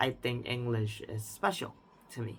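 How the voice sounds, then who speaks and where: A man with an Indonesian accent speaks at a medium pitch. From Indonesia, central Jakarta. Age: 20s. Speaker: language learner vlogger. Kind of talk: personal reflection monologue. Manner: unscripted, with some hesitation.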